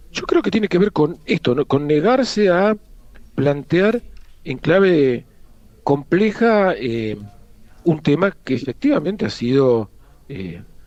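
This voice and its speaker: A man's high-pitched voice at a very slow pace, with very wide pitch swings and long, frequent pauses. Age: 50s. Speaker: history professor. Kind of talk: interview.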